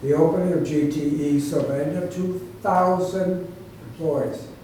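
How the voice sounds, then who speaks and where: Over noticeable background noise, a man with a Western New York accent and a high pitch talks at a fairly slow pace with fairly even intonation. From Batavia, New York. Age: 80s+. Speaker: author and former development agency head. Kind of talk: public talk.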